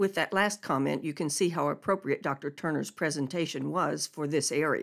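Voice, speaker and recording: A woman speaks at a very deep, low pitch with vocal fry and ordinary pitch variation. Her moderate pace has hardly any pauses, and the recording is very clean with a silent background. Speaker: radio host. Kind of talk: radio program intro and outro. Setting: radio studio.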